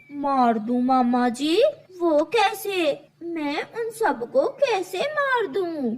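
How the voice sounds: A man uses a cartoonish character voice pitched extremely high. He speaks at a very slow pace.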